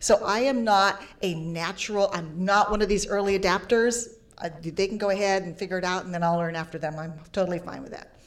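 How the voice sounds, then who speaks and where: An unremarkable speaking voice, with big swings in loudness and fairly even intonation. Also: woman, medium pitch for a woman, fairly quick pace. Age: 50s. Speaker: broadcast journalist. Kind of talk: panel discussion.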